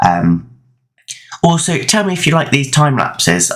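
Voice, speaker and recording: His voice is loud. The man's pitch swings very widely. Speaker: gaming YouTuber. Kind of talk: gameplay voice-over commentary. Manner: halting, many fillers.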